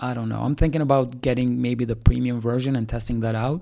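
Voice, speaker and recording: In an Albanian accent, a man talks at medium pitch in a dark, mellow tone with fairly even intonation, on a very clean recording with a silent background. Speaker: startup founder. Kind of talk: solo podcast monologue. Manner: casual, with many fillers.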